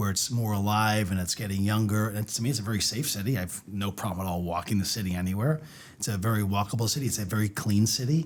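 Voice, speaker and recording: Speaking at a very fast pace, a man with a Boston accent has a fairly low pitch. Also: ordinary pitch variation. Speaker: winery owner. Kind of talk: casual chat. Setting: studio podcast on video.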